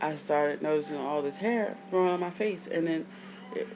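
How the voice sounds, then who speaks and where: Noticeable background noise under a woman's voice, pitched fairly low. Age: 30s. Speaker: video blogger. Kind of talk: casual vlog. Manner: casual, rambling speech.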